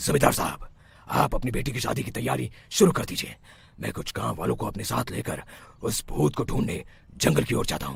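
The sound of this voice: In a cartoonish character voice, a man talks at a medium pitch and a fairly quick pace.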